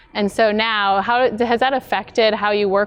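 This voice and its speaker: A woman with an Upper Midwest accent and fairly even intonation. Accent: Upper Midwest American. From North Dakota. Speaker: interview host, business strategist. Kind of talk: interview.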